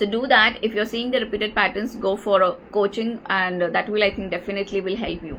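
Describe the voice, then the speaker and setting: Very fast and in an Indian accent, a woman talks at a medium pitch with fairly even intonation. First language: Marathi. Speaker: life coach. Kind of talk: live Q&A session. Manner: halting, many fillers.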